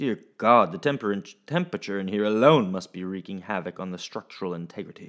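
Lively intonation in plain reading aloud

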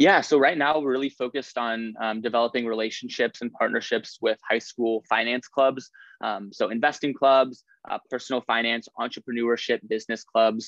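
Speaking with an American accent, a man keeps his intonation fairly even. The sound is dry and close with no echo over a quiet background. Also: medium pitch for a man, moderate pace. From Nebraska (Lincoln). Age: young. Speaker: student startup founder. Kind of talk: interview. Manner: hesitant, many fillers.

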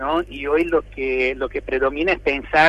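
A man talks at a fairly slow pace. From Brazil. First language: Portuguese (speaking Spanish). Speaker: health ministry adviser. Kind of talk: radio interview. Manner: halting, many fillers.

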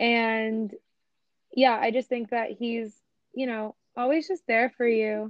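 Speaking very slowly with long, frequent pauses, a woman uses a fairly high pitch with ordinary variation. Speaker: guest. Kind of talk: casual chat.

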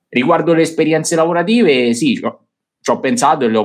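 Lively intonation runs through this man's speech. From Italy. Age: young. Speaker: finance youtuber. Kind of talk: casual interview. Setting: live stream. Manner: halting.

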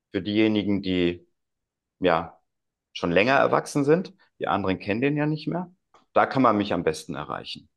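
A man's fairly low voice with very wide pitch swings, a moderate pace and long, frequent pauses. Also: quiet background. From Germany, North Rhine-Westphalia. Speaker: childminder and coach. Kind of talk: casual conversation.

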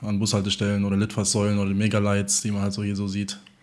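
At a very fast pace, a man speaks in a fairly low pitch. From Germany, Offenbach area (Hesse). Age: 20s. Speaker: DJ. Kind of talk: casual chat.

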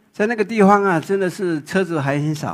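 Speaking with a Taiwanese accent, a man keeps a moderate pace and lively intonation. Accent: Taiwanese Mandarin. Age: 60s. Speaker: photographer. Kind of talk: public talk.

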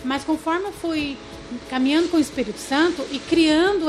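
Moderate pace and lively intonation amid noticeable background noise. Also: woman. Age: 40s. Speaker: pastor. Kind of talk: casual chat.

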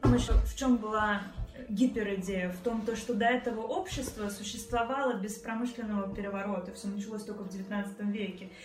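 There is audible room echo and noticeable background noise around this woman's voice. She speaks at a moderate pace and a fairly high pitch, with fairly even intonation. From Russia, Tolyatti (Volga region). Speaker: architect-designer. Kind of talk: casual chat.

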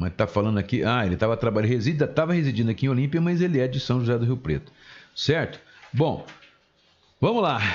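A man speaks very fast in an animated tone, his intonation lively and his loudness very even, broken by long, frequent pauses. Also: medium pitch for a man. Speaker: community radio host. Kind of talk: casual radio talk show.

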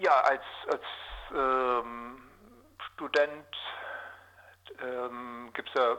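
The speaker is a man. His pitch is medium. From southwestern Lower Saxony, Germany (Osnabrück area). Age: 40s. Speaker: journalist. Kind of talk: interview. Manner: hesitant, many filler sounds.

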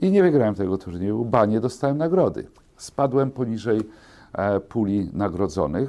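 In a dark, mellow tone, a man speaks at a moderate pace with a fairly low pitch. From Poland, small town. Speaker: bank executive. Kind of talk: interview. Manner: formal.

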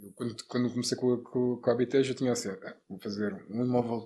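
A man talks in monotone, flat intonation. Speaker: entrepreneur, sports bettor, real estate investor. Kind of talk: casual interview. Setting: studio.

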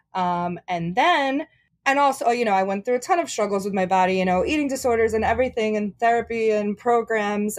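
Here a woman talks with ordinary pitch variation. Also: quiet background. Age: 30s. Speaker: plus size model and content creator. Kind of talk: casual interview.

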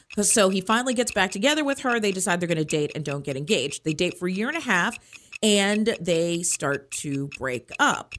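Recorded very cleanly against a silent background, a woman of medium pitch talks at a fairly quick pace with very wide pitch swings. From Maryland (Hyattsville). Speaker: radio host. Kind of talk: casual chat.

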